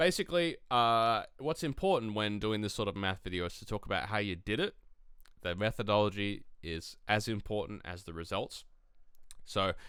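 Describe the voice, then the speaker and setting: Bright, sharp tone with an Australian accent, on a very clean recording against a silent background. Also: man. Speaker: tabletop wargaming youtuber. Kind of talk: tutorial. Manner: casual, lots of fillers.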